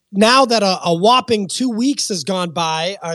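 A man's loud, high-pitched voice comes through with a dry, close sound and no echo. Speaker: podcast host. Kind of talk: casual podcast discussion.

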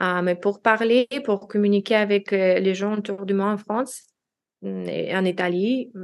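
With a non-native accent, a woman speaks at a very slow pace, using a medium pitch and fairly even intonation. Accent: foreign accent in French. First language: Russian (speaking French). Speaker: language learner, expatriate. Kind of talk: interview. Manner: halting.

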